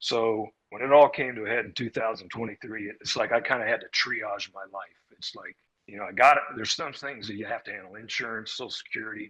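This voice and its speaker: In an American accent, a man talks at a fairly quick pace. His unremarkable speaking voice sits at a medium pitch with fairly even intonation. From Arizona, US Southwest. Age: 60s. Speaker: former religious group member. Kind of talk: personal testimony interview.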